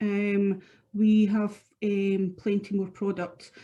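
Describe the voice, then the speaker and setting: In a Scottish accent, a woman with a medium pitch and a dark, mellow tone sounds somewhat breathy against a quiet background. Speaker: product specialist. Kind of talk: webinar product presentation. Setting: online webinar.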